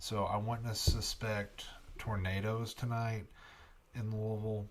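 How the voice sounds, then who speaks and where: Soft-spoken, a man talks at a very slow pace in a fairly low voice with an American accent. His intonation is monotone and flat. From Kentucky. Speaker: broadcast meteorologist. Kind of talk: live weather commentary. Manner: soft-spoken, keeping voice down.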